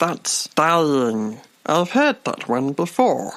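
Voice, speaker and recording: Someone uses a put-on character voice at middle pitch and a very slow pace, on a very clean recording with a silent background. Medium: audio drama. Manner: confident, lecturing, mispronounces words.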